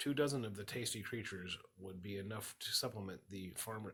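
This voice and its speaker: A man speaks at a fairly quick pace in a fairly low voice, with music playing in the background. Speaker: minister. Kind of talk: audiobook reading.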